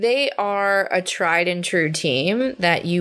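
Over a very clean recording with a silent background, a woman speaks in a normal speaking voice with an American accent. Her pitch is fairly low, and her intonation is lively. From New Jersey. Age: 30s. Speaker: podcast co-host. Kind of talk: casual chat.

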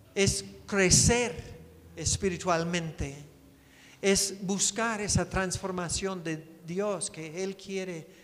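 A man speaks at a very slow pace in a high pitch. His intonation stays fairly even, with audible room echo around him. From United States. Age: 60s. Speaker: missionary preacher. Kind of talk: sermon. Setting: church.

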